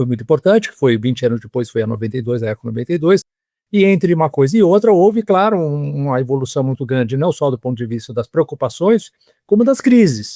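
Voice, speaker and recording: A man's fairly high-pitched voice with a dark, mellow tone and a dry, close sound with no echo. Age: 70s. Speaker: historian. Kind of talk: interview. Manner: halting.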